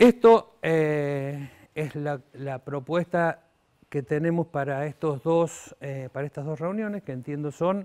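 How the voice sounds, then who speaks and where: Delivered very slowly, the speech rises and falls in pitch a normal amount. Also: man. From Argentina. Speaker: economics lecturer. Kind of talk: lecture. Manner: halting, many fillers.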